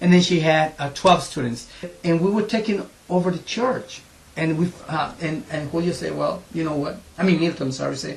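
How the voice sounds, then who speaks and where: At a moderate pace, a man speaks in a high voice amid noticeable background noise. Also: ordinary pitch variation. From Ecuador. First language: Spanish. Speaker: English teacher for immigrants. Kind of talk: interview testimony.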